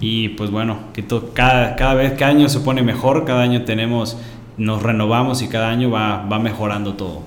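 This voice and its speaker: Through noticeable background noise and audible room echo, a man talks at a fairly quick pace, medium in pitch, with fairly even intonation. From Mexico. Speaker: podcast co-host, university co-founder. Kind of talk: casual chat.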